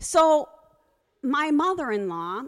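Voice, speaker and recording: A woman with an American accent speaks at a very slow pace. Her bright, sharp voice makes very wide pitch swings. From US Northeast, Connecticut. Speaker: storyteller. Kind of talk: live storytelling. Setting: stage with audience.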